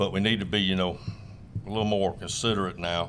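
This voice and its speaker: The voice belongs to a man. It sits fairly low in pitch and varies in an ordinary way. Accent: South Carolina. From South Carolina. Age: 60s. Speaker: tournament crappie angler. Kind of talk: casual interview chat. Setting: fishing expo.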